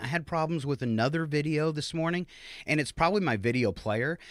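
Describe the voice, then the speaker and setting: On a very clean recording with a silent background and a dry, close sound without echo, a man with an unremarkable speaking voice talks fairly high and at a fairly quick pace. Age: 50s. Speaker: comedy show host. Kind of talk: casual comedic chat. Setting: live video stream.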